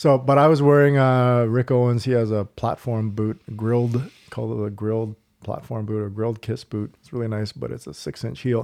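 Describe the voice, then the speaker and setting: Against a quiet background, a speaker with a Canadian accent and an unremarkable speaking voice talks at a moderate pace, with fairly even intonation but big swings in loudness. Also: man, medium pitch for a man. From Canada, Halifax, Nova Scotia. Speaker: stunt coordinator and director. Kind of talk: casual chat. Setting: home recording with drinks.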